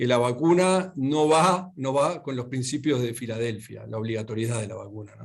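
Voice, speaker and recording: A man with a Uruguayan accent talks at a medium pitch. His pace is moderate and his pitch varies in an ordinary way. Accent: Rioplatense Spanish (Uruguayan). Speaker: lawyer and speaker. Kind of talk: lecture. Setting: video call. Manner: halting, many fillers.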